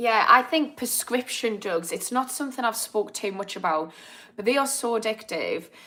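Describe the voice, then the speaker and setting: A woman speaks at a moderate pace in a fairly high pitch, her tone bright and sharp. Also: ordinary pitch variation. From northern England, Newcastle (Geordie). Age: 30s. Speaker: addiction therapist. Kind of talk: live stream chat. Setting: live video stream. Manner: casual, chatty.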